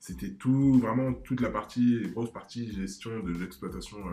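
With music in the background, a man speaks at a fairly low pitch and a fairly slow pace. His intonation is lively and his loudness swings widely. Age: 20s. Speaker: startup manager. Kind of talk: casual interview.

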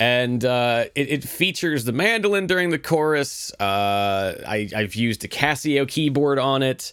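Speaking at a fairly slow pace, a man barely pauses. His loudness stays very even while his intonation is lively. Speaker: podcast host and musician. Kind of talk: casual solo podcast monologue. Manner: casual, filler-heavy, self-deprecating.

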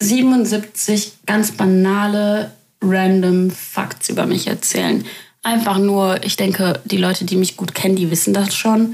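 A woman speaks at a very slow pace, her intonation fairly even. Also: medium pitch for a woman, very even loudness. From Germany. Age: 20s. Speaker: podcaster. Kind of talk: casual monologue.

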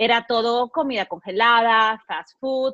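A woman's fairly high voice has a bright, sharp tone, recorded dry and close with no echo against a quiet background. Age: 30s. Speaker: podcast host. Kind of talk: casual chat.

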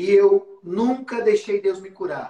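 Speaking very slowly, a man lets his pitch move in a normal way. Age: 40s. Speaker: youth pastor. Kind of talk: preaching in a live stream.

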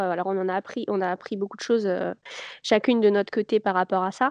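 A normal speaking voice with fairly even intonation in a dry, close sound with no echo. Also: woman. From Paris region, France. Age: 30s. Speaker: knitwear designer and charity founder. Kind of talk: casual interview.

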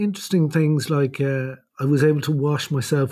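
In a very clean recording over a silent background, a man with an Irish accent speaks at a fairly high pitch with fairly even intonation. His voice has a dark, mellow tone and is somewhat breathy. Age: 50s. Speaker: emergency doctor with Parkinson's. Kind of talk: casual chat. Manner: halting.

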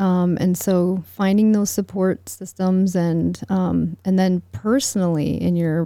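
She has a plain, everyday voice with an American accent. Her pitch is medium for a woman, with fairly even intonation. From United States. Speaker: relational psychology coach. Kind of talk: casual interview.

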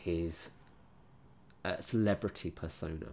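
On a very clean recording with a silent background, a man with an English accent speaks at a very slow pace. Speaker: book podcast host. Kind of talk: solo book review podcast. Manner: slower than normal.

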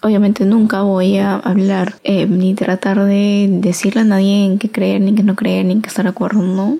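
Somewhat breathy and dark, mellow in tone, a woman of medium pitch speaks at a moderate pace with monotone, flat intonation. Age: 20s. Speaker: podcaster. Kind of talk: solo casual monologue.

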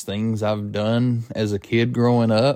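In a very clean recording with a silent background, a man speaks very slowly in a monotone, flat intonation. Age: 30s. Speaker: podcast host. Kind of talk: personal monologue. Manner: casual, hesitant with fillers.

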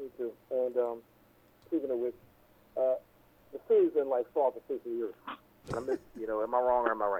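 Medium-pitched male speech with a dark, mellow tone, monotone and flat, at a moderate pace with long, frequent pauses

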